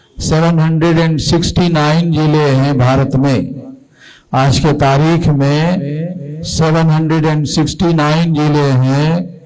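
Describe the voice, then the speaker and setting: A man's fairly high, monotone voice with flat intonation, very even loudness and audible room echo. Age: 60s. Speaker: activist leader. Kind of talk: political speech.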